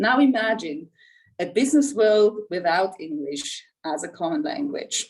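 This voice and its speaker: Speaking at a fairly slow pace with a Swiss German accent, a woman with a fairly high pitch lets her voice swing very widely up and down. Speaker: insurance executive. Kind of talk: prepared speech. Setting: video call.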